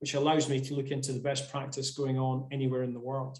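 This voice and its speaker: The speaker is a man with a Scottish accent. His voice sits fairly high. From Scotland. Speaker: sports physiotherapist. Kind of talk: webinar presentation. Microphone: without headset.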